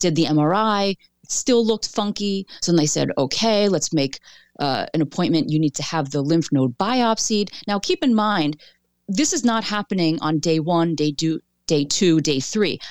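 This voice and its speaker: In a dry, close sound with no echo and a very clean recording with a silent background, a woman talks at a moderate pace with a fairly low pitch. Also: lively intonation. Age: 40s. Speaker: author and breast cancer previvor. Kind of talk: interview testimony.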